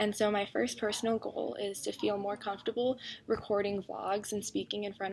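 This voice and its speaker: A woman speaks at a medium pitch and a fairly quick pace. The recording is very clean, with a silent background. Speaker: student vlogger. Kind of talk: personal vlog. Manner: fast; loud at times.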